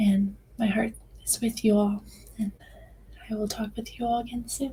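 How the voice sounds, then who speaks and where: This woman's voice is fairly high and somewhat breathy. Her intonation stays monotone and flat at a moderate pace. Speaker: life coach and podcast host. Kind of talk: personal podcast monologue. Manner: hesitant, many filler words.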